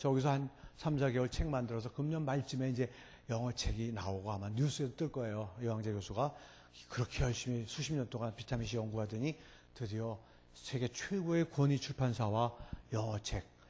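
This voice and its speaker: A man speaks at a fairly quick pace in a somewhat breathy voice with a dark, mellow tone. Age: 60s. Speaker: professor. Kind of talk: lecture. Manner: animated.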